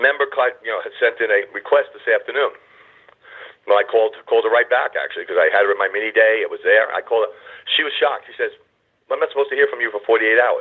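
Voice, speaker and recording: Talking at a very fast pace, a man leaves long, frequent pauses, with big swings in loudness. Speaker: conference call host for a membership society. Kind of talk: motivational talk on a group phone call. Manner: loud, passionate, sounds like yelling; excited, animated.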